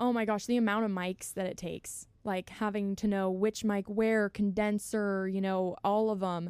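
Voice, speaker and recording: A woman speaks with monotone, flat intonation. The recording is very clean, with a silent background. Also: medium pitch for a woman, moderate pace, hardly any pauses. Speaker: audio engineer. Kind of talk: casual chat. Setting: studio.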